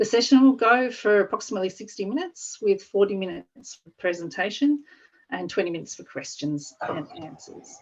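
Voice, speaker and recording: Speaking at a fairly quick pace with an Australian accent, a woman of medium pitch uses lively intonation and big swings in loudness. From Australia (Victoria). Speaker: parks agency staff presenter. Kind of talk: webinar presentation. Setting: online webinar.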